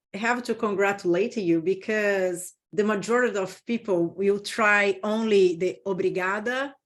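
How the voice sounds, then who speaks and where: In a Brazilian Portuguese accent, a woman speaks at a fairly slow pace and medium pitch, with hardly any pauses, against a quiet background. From Brazil, Sao Paulo. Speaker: business consultant. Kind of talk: interview.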